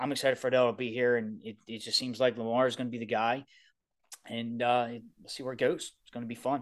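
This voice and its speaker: A man speaks in a strong Baltimore accent at a very fast pace. His pitch is medium, with big swings in loudness. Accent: thick Baltimore. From Baltimore, Maryland. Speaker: sports podcast co-host. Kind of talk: casual chat. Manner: animated.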